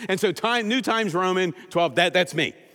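Heard in a very clean recording over a silent background, a man talks loud and high-pitched at a fairly quick pace. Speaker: pastor. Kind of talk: sermon. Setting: church.

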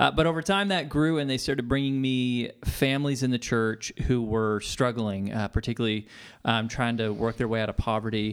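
With an ordinary speaking voice, a man talks at a fairly quick pace and medium pitch, using ordinary pitch variation. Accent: American. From Texas, Tomball. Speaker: pastor. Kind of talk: interview.

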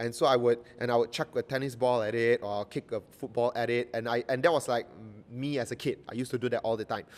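Monotone and flat, a man speaks at a very fast pace. His pitch sits in the medium range. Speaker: pastor. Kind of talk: sermon. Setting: church. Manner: halting.

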